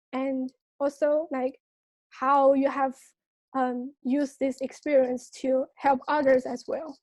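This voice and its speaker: A woman's very slow, high-pitched speech in a Chinese accent, monotone and flat, dry and close with no echo. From China. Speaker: student. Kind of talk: interview. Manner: hesitant, many fillers.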